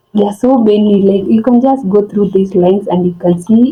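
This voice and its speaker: The woman's voice is somewhat breathy, with a non-native accent. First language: not English. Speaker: forex trading tutorial vlogger. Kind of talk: tutorial. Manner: halting, many fillers and restarts.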